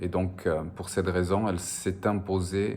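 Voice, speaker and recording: With a Spanish accent, a man speaks fairly slowly in a very deep, flat monotone, and the room echo is audible. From French Basque Country, border with Spain. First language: Spanish (speaking French). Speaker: novelist. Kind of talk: interview. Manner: hesitant, frequent filler sounds.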